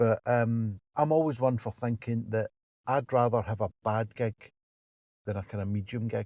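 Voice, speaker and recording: A man speaks in a Glasgow accent with a dark, mellow tone. His intonation is fairly even, and the background is quiet. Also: medium pitch for a man, moderate pace. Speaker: stand-up comedian. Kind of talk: interview answer. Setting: in a parked car.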